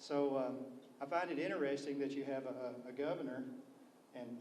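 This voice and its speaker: Someone with a Kentucky accent talks at a moderate pace amid noticeable background noise and audible room echo. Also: man. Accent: southern US (Kentucky). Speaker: state legislator. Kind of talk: panel discussion. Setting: public briefing with audience. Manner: soft-spoken.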